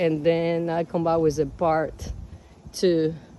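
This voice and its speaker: The speaker talks at a fairly slow pace in a strong Cuban accent. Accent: Cuban Spanish accent, heavy. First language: Spanish. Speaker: home gardener vlogger. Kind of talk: casual garden walk-through vlog. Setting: outdoors in garden. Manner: casual, halting with fillers.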